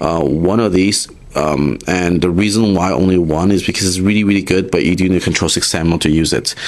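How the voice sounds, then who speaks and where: With noticeable background noise behind him, a man speaks at a fairly quick pace and a very deep, low pitch, his loudness very even, his intonation fairly even and his pauses hardly there at all. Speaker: card game YouTuber. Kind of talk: tutorial. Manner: casual, many fillers; fast.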